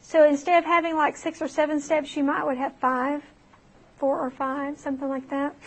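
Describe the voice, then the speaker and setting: This woman has a high pitch. Her intonation is monotone and flat. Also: moderate pace. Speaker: math teacher. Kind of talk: lecture.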